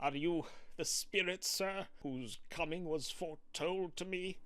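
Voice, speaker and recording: This man's voice is high in pitch and clearly a put-on character voice. He talks at a fairly slow pace. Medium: audio drama.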